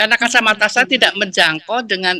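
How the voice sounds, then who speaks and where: A woman speaks very fast in a medium pitch with a bright, sharp tone. The sound is dry and close, with no echo. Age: 70s. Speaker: student sharing experience. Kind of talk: testimony. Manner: halting.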